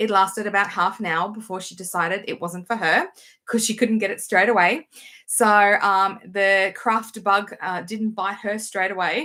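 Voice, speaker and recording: In an Australian accent, a woman with a medium pitch and a bright, sharp tone speaks at a moderate pace with fairly even intonation on a very clean recording with a silent background. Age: 40s. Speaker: knitting vlogger and teacher. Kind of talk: casual vlog chat.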